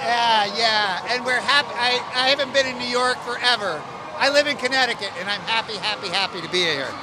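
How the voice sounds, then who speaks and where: Amid crowd noise in the background, a man with an extremely high pitch raises and projects his voice, using ordinary pitch variation. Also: fairly quick pace. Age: 60s. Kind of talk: street interview.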